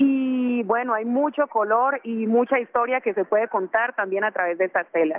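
A woman talks at a moderate pace with hardly any pauses. Her pitch is fairly high, with ordinary pitch variation. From Bogotá, Colombia, with Chocó family roots. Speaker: fashion designer and musician. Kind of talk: radio interview.

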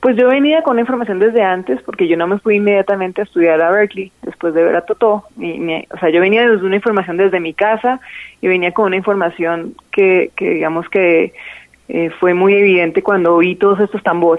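The woman has an ordinary speaking voice, medium in pitch with ordinary pitch variation. She talks at a fairly quick pace. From Colombia, Bogotá. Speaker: singer and musician. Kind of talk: interview.

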